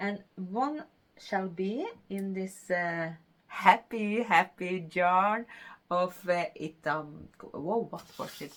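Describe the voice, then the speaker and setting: A woman with a Norwegian accent, speaking at a very slow pace with ordinary pitch variation. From Norway. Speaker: knitting podcaster. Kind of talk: casual talk to camera.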